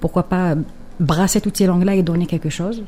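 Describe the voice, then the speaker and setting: Her pitch fairly low for a woman, she speaks with fairly even intonation. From Algeria, Kabyle. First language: Kabyle (speaking French). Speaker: poet and writer. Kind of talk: radio interview. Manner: hesitant, many fillers and repetitions.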